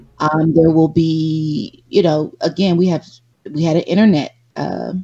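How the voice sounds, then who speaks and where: Music plays behind a woman with a very deep, low voice. She speaks at a fairly slow pace in a monotone, flat delivery. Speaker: podcast co-host. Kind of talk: live podcast chat.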